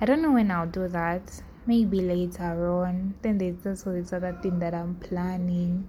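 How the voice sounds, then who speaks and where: In audible room echo, a woman with a medium pitch and a dark, mellow tone speaks somewhat breathily at a moderate pace, her intonation fairly even and hardly any pauses in her delivery. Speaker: podcast host. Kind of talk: casual monologue. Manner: halting.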